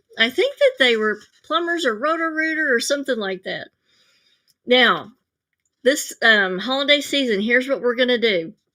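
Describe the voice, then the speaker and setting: A woman's raised, projected voice, high in pitch, bright and sharp in tone, with lively intonation, in a very clean recording with a silent background. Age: 60s. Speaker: psychic and live show host. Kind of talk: live stream talk. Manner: casual, with fillers.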